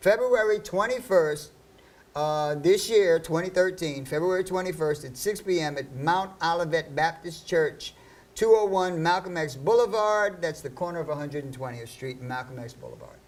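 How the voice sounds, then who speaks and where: A man speaks at a moderate pace in a high-pitched voice, with lively intonation and big swings in loudness. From US Northeast, Harlem, New York City. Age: 60s. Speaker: radio host. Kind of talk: talk radio interview. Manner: halting, many fillers.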